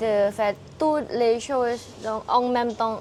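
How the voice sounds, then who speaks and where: A woman with a Thai accent speaks at a very slow pace in a high voice, her pitch varying in an ordinary way, over noticeable background noise. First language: Thai (speaking French). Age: 20s. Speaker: Thai language teacher and author. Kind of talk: interview. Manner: halting.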